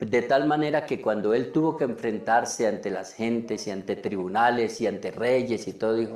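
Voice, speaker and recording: A man's voice carries audible room echo. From Colombia, Cundinamarca. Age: 70s. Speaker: preacher. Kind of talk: sermon.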